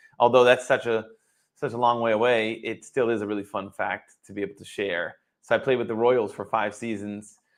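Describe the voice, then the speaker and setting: An unremarkable speaking voice from a man at medium pitch, with an American accent, fairly even intonation, big swings in loudness and a fairly quick pace. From Boston area. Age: 40s. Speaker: former baseball player turned wealth advisor. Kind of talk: interview. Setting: live stream.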